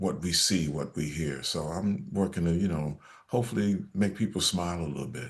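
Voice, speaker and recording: Very deep, low pitch from a male speaker, its rise and fall ordinary. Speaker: actor and jazz vocalist. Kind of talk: interview answer.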